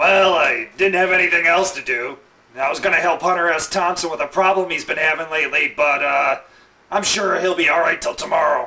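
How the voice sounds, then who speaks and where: A man in a put-on character voice, high-pitched, at a fairly quick pace. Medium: comedy sketch. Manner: casual, irreverent.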